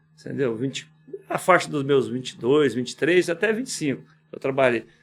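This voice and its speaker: With music in the background, a man with a fairly high pitch talks at a fairly quick pace with lively intonation, big swings in loudness, and long, frequent pauses. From Goiás, Brazil (Quirinópolis, rural). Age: 60s. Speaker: business owner. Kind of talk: podcast interview. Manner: informal, conversational.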